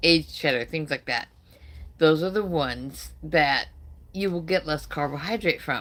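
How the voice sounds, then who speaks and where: A woman's voice with a fairly low pitch. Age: 60s. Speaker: carnivore diet live streamer. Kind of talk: casual live stream chat. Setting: live stream. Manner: conversational, halting with fillers.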